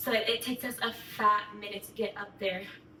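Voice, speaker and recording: An animated tone over noticeable background noise. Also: woman. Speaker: vlogger. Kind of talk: casual storytime. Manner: fast.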